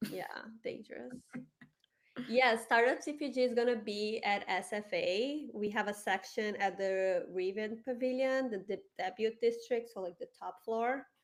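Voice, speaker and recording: With a Brazilian Portuguese accent, a woman talks at a moderate pace. Her pitch is fairly high, with ordinary variation. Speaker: community host and award judge. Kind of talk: live stream panel chat. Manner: talkative.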